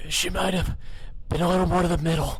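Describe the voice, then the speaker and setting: Using a put-on character voice, a man speaks at a very fast pace with a high pitch. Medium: read story.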